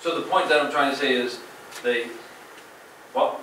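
At a moderate pace, the speaker is heard with audible room echo and noticeable background noise. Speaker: town manager. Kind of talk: official report. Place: hall.

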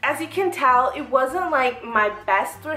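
With faint music behind her and audible room echo, a woman speaks in a high voice at a fairly slow pace. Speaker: fashion vlogger. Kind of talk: casual vlog chat. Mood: upbeat, reflective. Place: home room. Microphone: camera far.

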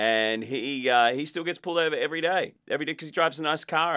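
A man with an Australian accent talks at a fairly quick pace with ordinary pitch variation against a quiet background. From Australia (Queensland). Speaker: podcast host. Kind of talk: interview. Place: studio.

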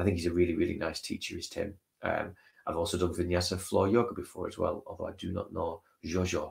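This man talks extremely fast. There's little sound behind him. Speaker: stream host. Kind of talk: casual livestream chat. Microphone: webcam.

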